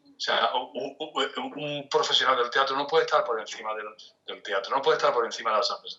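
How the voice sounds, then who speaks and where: Very fast speech comes from a man whose loudness swings widely. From Spain, Cádiz (Andalusia). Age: 60s. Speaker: theatre director and arts manager. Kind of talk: interview. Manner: halting, with frequent repetitions.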